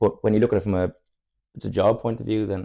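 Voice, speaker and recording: Against a quiet background, a man with a southern Irish accent talks at a very fast pace. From Ireland, Cork area. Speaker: football player. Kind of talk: casual chat.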